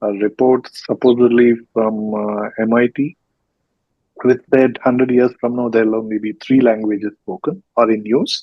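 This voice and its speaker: Speaking with an Indian accent, a man keeps a medium pitch and a fairly slow pace. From South India, Karnataka. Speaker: podcast host. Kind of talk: interview. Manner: hesitant, many fillers.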